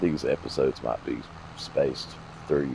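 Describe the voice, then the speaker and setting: A man with a Southern US accent speaks over noticeable background noise. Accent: southern drawl. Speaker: gaming video creator. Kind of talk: gameplay commentary. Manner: low, lazy-sounding speech.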